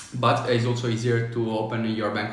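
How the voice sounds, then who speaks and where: Medium pitch from a man, with noticeable background noise and audible room echo. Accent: Italian. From Italy. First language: Italian. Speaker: business consultant, online business coach. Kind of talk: livestream talk on tax advice. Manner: halting, many fillers.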